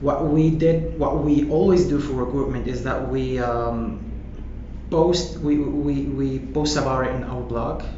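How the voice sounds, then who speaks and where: Audible room echo and noticeable background noise surround the speech. A man talks fairly slowly. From northern Morocco, Nador. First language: not English (self-taught English). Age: 20s. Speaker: marketing manager. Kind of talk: interview.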